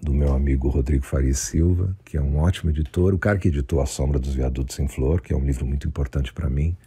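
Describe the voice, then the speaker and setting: The speech comes very fast with hardly any pauses, very even loudness and fairly even intonation. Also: man, very deep, low pitch for a man. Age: 60s. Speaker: writer and former rock musician. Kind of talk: recorded author statement. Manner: halting.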